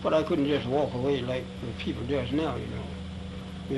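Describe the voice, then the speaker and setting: An American-accented man at a moderate pace, with noticeable background noise. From Virginia, Charlottesville. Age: 80s+. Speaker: formerly enslaved man. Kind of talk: oral history interview.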